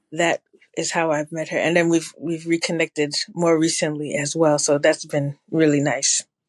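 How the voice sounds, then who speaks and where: At a moderate pace, a woman with a Ghanaian accent speaks in a very deep, low pitch with monotone, flat intonation and a dry, close sound with no echo. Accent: sounds Ghanaian. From New Jersey, Ghanaian family. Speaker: public health evaluation consultant. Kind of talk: interview conversation.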